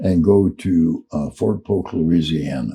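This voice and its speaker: Very deep and low, a man's voice has a dark, mellow tone with vocal fry. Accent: American. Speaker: Vietnam war veteran. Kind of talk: oral storytelling, casual reminiscence. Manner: slow, unhurried.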